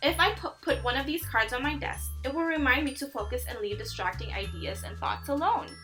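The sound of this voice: A woman speaks at a fairly quick pace in a high pitch with ordinary pitch variation and a bright, sharp tone. Faint music plays in the background.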